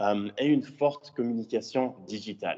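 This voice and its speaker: A man with a slight English accent, fairly low in pitch, with a dark, mellow tone and ordinary pitch variation. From Switzerland. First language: English (speaking French). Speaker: student entrepreneur. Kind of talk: conference presentation. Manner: halting, many fillers.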